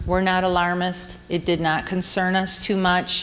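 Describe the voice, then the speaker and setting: A woman's medium-pitched voice with audible room echo and noticeable background noise. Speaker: women's speaker at church camp. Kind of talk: sermon.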